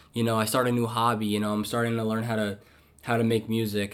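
An ordinary speaking voice is heard. The pace is fairly quick. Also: man. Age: 20s. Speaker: podcast host and student. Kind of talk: casual chat.

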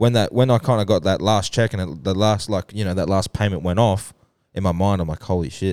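A man with an Australian accent, very deep and low in pitch with ordinary pitch variation, at a fairly quick pace, on a very clean recording with a silent background and a dry, close sound with no echo. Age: 20s. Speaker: podcast co-host and producer. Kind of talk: casual chat.

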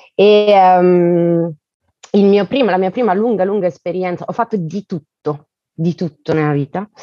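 At a fairly slow pace, a woman speaks at a medium pitch with ordinary pitch variation and long, frequent pauses. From Italy, Bergamo and Elba (Tuscany). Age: 30s. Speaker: guest, works in crowdfunding platform. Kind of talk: casual chat.

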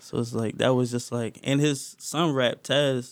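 A man's medium-pitched voice in a monotone, flat delivery. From Philadelphia. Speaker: rapper. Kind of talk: casual chat.

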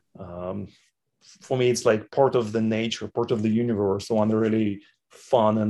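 A man with a Russian accent speaks at a moderate pace and a fairly low pitch. His tone is dark and mellow, and his intonation is monotone and flat. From Chechnya, Soviet Union. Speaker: entrepreneur and parent of a tech founder. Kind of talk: casual interview.

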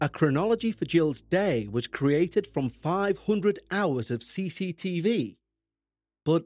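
Lively intonation in a very clean recording with a silent background, with a dry, close sound and no echo. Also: man. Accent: Liverpool. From Liverpool, England. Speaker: true crime podcast host. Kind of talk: scripted narration.

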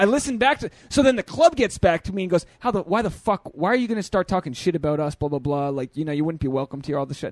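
A man talks at a very fast pace with hardly any pauses. His high voice makes very wide pitch swings. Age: 30s. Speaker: podcast host and stand-up comedian. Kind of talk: casual chat. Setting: studio with fan in background.

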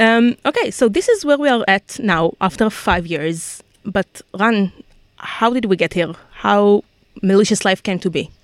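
In an unremarkable speaking voice, a woman talks at a fairly slow pace with medium pitch and lively intonation, the sound dry and close with no echo. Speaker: social media manager. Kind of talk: live Q&A chat. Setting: studio.

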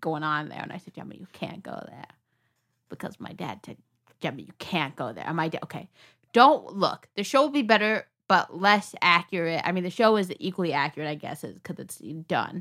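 A woman speaks at a fairly quick pace with lively intonation. Her tone is animated, bright and sharp. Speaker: podcast co-host. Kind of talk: casual chat.

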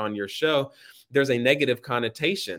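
A man with an American accent, a normal speaking voice, medium pitch, ordinary pitch variation and a fairly quick pace. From North Carolina, Raleigh. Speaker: law student and youth advocate. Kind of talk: podcast interview.

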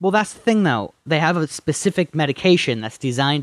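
Recorded dry and close with no echo and a silent background on a very clean recording, a man with an American accent uses a normal speaking voice, talking at a fairly quick pace with lively intonation. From Upper Peninsula of Michigan (Marquette). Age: 20s. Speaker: podcast co-host. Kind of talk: casual chat.

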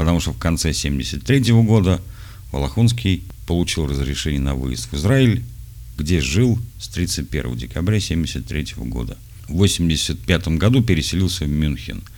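A man with a very deep, low voice speaks at a fairly slow pace, his pitch swinging very widely. Noticeable background noise and audible room echo surround him. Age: 40s. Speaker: podcaster addressing his son. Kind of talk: audio letter to his son, reading and explaining.

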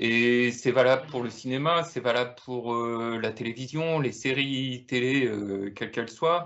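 Here is a man with an ordinary speaking voice at a medium pitch. He talks at a fairly slow pace. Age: 30s. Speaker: film enthusiast panelist. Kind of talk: casual chat.

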